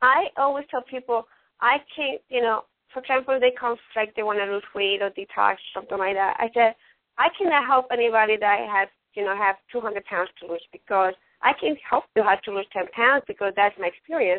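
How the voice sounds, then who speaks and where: A woman with a Latin American accent talks at a moderate pace. Her pitch is fairly high, with ordinary variation. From Ecuador. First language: Spanish. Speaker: radio host. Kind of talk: casual talk show hosting. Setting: online radio show.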